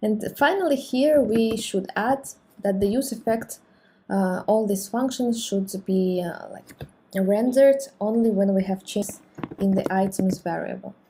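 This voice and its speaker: This speaker has a non-native accent and talks at a fairly slow pace. The pitch rises and falls in an ordinary way. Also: woman, medium pitch for a woman. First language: not English. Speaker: programming tutorial creator. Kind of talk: tutorial. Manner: hesitant, many fillers.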